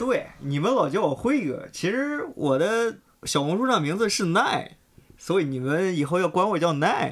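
At a fairly slow pace, a man with a high pitch speaks with very wide pitch swings. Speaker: office colleague at a sneaker media outlet. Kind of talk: casual chat.

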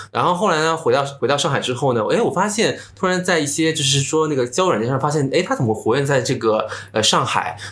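A man with a fairly high pitch, lively intonation and very even loudness, talking at a very fast pace with hardly any pauses, amid noticeable background noise and audible room echo. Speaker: social media influencer. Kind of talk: casual chat.

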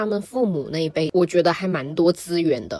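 A woman speaks at a fairly low pitch. Background noise is noticeable. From Shenzhen, Guangdong, China. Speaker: podcast guest. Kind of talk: casual chat.

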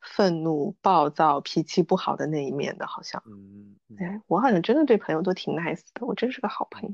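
Against a quiet background, a woman with a strong Suzhou accent speaks at a fairly low pitch, the sound dry and close with no echo. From Suzhou, China. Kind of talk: casual chat.

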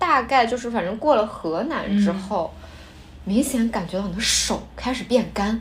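A woman speaks at a moderate pace with fairly high pitch and ordinary pitch variation. Her loudness swings widely, and there is noticeable background noise. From Shanxi, northern China. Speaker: podcast co-host. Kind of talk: casual chat.

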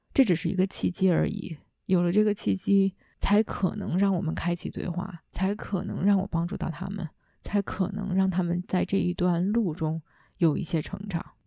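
In a dry, close recording with no echo, a woman with a fairly low pitch, a dark, mellow tone and a calm, warm tone speaks with vocal fry and fairly even intonation. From China. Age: young. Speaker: leadership coach and podcast host. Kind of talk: solo reflective monologue. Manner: calm and warm.

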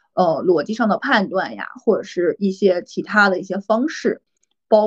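At a moderate pace, a woman speaks in a somewhat breathy voice at medium pitch. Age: 30s. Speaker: MBTI assessor, personal growth coach. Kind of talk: casual interview chat.

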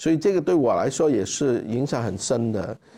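This man's voice has a dark, mellow tone. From Hong Kong. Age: 50s. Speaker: charity founder. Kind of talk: interview conversation. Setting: conference room with live audience.

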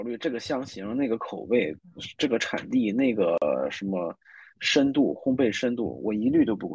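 Speaking at a moderate pace, a man shows vocal fry and very wide pitch swings. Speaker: blind date participant. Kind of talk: casual chat.

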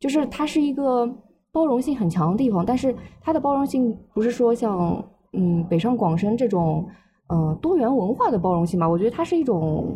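At a moderate pace, this voice moves through very wide pitch swings while its loudness stays very even. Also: woman, fairly high pitch for a woman. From Shanghai. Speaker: language graduate. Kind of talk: casual chat.

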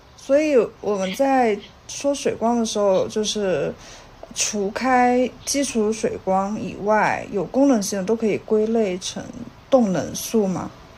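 A woman with a fairly high pitch and ordinary pitch variation speaks at a very slow pace against noticeable background noise. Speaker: podcast co-host. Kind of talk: casual interview. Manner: soft-spoken.

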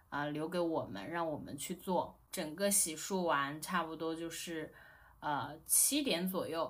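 A woman's fairly low voice with ordinary pitch variation, at a fairly slow pace, amid audible room echo. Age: 30s. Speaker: new mother, guest. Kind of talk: casual chat.

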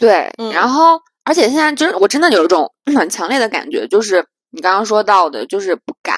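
In a dry, close recording with no echo, a woman speaks fairly quickly in an animated tone at a fairly high pitch, with very wide pitch swings. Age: 30s. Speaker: podcast co-host. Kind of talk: casual chat.

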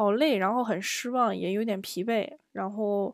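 The recording is very clean with a silent background. A woman speaks at medium pitch with ordinary pitch variation. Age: 30s. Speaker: solo podcast host. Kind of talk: personal storytelling monologue. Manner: hesitant, many fillers.

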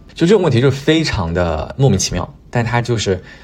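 Over noticeable background noise, a man talks at a moderate pace. His medium pitch swings very widely. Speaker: podcast host. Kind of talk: casual solo monologue. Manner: hesitant with frequent fillers and repetitions.

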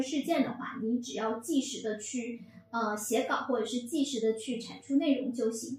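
Fairly even intonation from a woman with a high-pitched voice. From Fujian. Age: 30s. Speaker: PR professional, former journalist. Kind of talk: casual chat.

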